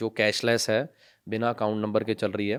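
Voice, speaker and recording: On a very clean recording with a silent background, a man speaks in a fairly low, monotone voice with flat intonation. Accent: Punjabi. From Punjab, India. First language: Punjabi (speaking Hindi). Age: 20s. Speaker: NGO founder and social worker. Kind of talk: podcast interview. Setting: studio.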